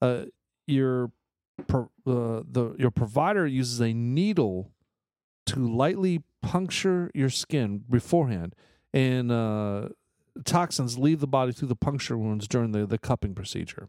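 Speaking with an American accent, a man has a dark, mellow tone at a medium pitch and lively intonation. He goes at a fairly slow pace in a very clean recording with a silent background. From Texas, El Paso. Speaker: podcast host. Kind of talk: casual chat.

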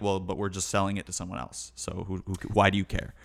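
An unremarkable speaking voice from a man, fairly low in pitch and fairly quick, on a very clean recording with a silent background. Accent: American. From Chicago, US Midwest. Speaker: jazz keyboard player. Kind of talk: casual chat.

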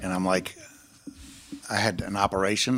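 Man with a New Orleans accent, fairly low pitch, and moderate pace. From New Orleans, Gentilly. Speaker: bass player. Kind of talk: casual chat.

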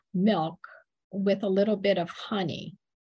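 Somewhat breathy woman's voice, medium in pitch, with fairly even intonation. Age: middle-aged. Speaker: podcast host. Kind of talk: interview.

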